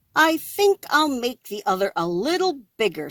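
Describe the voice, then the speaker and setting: In a put-on character voice, a woman speaks at a high pitch and a moderate pace with very wide pitch swings. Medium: read story.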